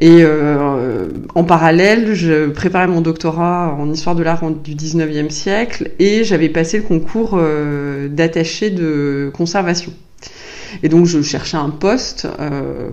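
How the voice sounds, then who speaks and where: A woman talks at a very slow pace with ordinary pitch variation. Audible room echo and noticeable background noise surround her voice. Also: fairly low pitch for a woman. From France, Vendée (countryside). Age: 40s. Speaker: museum director. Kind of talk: interview. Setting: office. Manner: hesitant, many fillers and repetitions.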